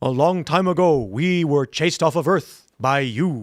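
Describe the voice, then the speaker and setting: In a very clean recording with a silent background, a man does a put-on character voice at a moderate pace. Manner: comical cartoon voice.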